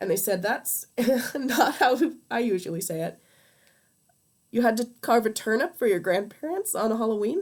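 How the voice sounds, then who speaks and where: This woman has a Midwestern accent and a fairly high pitch. She talks at a moderate pace with lively intonation. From US Midwest. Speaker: streamer. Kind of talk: casual livestream chat while crafting. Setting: livestream. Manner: hesitant, many fillers.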